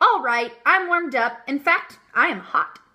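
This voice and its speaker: A woman puts on a character voice, high-pitched and cheerful in tone. Her pitch swings very widely as she speaks at a moderate pace. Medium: read story. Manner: cheerful, earnest, naive.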